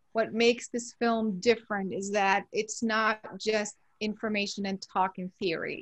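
With music in the background, a woman speaks in fairly even intonation. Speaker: guest. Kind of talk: interview answer. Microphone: video call.

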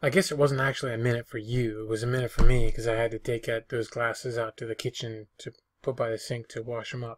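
A man's somewhat breathy voice, very fast with hardly any pauses and monotone, flat intonation. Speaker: reseller vlogger. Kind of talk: casual vlog chat. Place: home room. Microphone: webcam.

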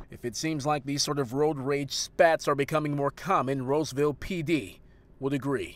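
A man with a plain, everyday voice, fairly high in pitch, at a moderate pace with fairly even intonation. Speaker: TV news reporter. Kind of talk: formal news reading, scripted broadcast report. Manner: formal, even-paced, measured and authoritative newsreader delivery.

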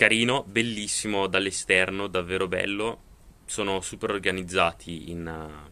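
A man with a very deep, low pitch and a bright, sharp tone, at a fairly slow pace with fairly even intonation. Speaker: vlogger. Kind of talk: casual vlog chat. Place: home room. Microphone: phone near.

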